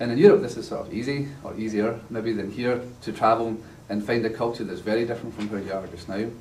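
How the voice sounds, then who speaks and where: With a strong Glasgow accent, a man talks at a very fast pace in a somewhat breathy voice, with light background noise and audible room echo. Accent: strong Glaswegian Scottish. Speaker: university lecturer. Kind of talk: lecture. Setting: church class with live audience. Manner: humorous, storytelling. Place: classroom. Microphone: camera far.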